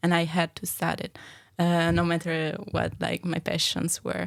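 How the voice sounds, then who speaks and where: In an Italian accent, a woman with a fairly low pitch speaks at a moderate pace in a flat monotone. The recording is very clean, with a silent background. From Italy. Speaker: adult education student. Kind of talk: casual chat.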